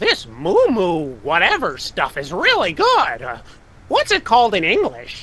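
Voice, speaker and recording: A man's put-on character voice, high in pitch and at a fairly slow pace. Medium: video game. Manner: gleeful, impish.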